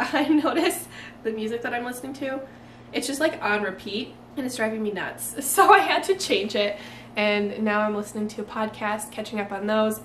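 In a room with audible echo and light background noise, a woman talks at a fairly quick pace with ordinary pitch variation. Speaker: lifestyle vlogger. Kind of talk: casual vlog chat. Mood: cheerful, laughing often. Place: home room. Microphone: camera far.

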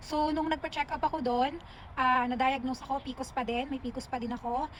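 Her intonation monotone and flat, a woman talks fairly quickly at a high pitch. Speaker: vlogger. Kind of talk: personal vlog testimony. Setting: outdoors in a park.

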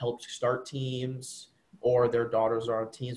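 A somewhat breathy voice at a moderate pace. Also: man. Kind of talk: interview answer. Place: home room. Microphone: video call.

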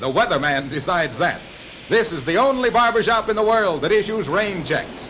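A man's high voice against noticeable background noise. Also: lively intonation, moderate pace. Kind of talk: vintage newsreel narration. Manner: playful, jokey.

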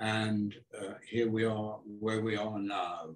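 A man at a very slow pace over a quiet background. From England, Devonport (Plymouth); England. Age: 80s+. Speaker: architect. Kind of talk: public talk conversation. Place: home room. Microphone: camera far.

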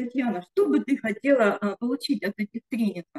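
A woman talks in a high voice with ordinary pitch variation. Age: 60s. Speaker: network marketing participant. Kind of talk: testimony. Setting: video call. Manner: halting. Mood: emotional, uplifted. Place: home room. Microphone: video call.

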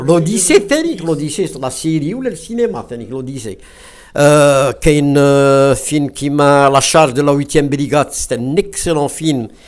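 Speaking at a fairly quick pace with hardly any pauses, a man uses ordinary pitch variation. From western Algeria. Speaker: retired English teacher, film club founder; guest. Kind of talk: discussion talk. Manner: halting, many hesitations.

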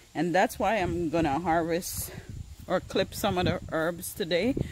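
Noticeable background noise sits under fairly slow speech recorded in a dry sound with no echo. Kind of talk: casual vlog chat. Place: garden. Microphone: phone near.

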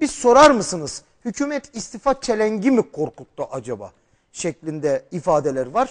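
The pitch swings very widely. The background stays quiet. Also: man. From Turkey, Şanlıurfa; Turkey. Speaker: TV presenter and journalist; TV presenter, journalist. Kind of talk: TV political interview. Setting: TV studio, live broadcast. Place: studio.

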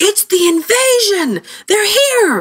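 Shouting in a put-on character voice, a woman hits an extremely high pitch. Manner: shouting in alarm.

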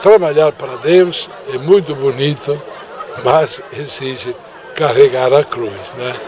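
A man at a fairly slow pace with ordinary pitch variation, crowd noise in the background. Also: dry sound with no echo. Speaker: parish priest. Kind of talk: interview answer. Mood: calm, devotional. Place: open country. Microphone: handheld.

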